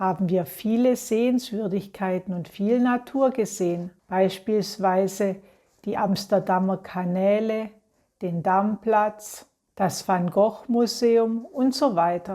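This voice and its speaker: At a very slow pace, a woman with a medium pitch and a dark, mellow tone speaks with ordinary pitch variation in a very clean recording with a silent background. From Germany. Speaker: German teacher voicing a model presentation. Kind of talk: reading aloud. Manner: clear diction.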